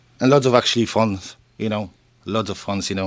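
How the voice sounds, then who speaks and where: Talking at a fairly quick pace, a man with a Polish accent keeps his pitch fairly low. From Poland. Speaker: shop owner. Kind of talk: casual interview.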